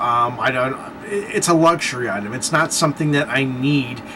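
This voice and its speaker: Noticeable background noise fills the recording. Over it, a man talks with lively intonation. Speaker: vlogger. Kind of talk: casual vlog monologue. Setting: at home, late at night. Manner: fast; animated.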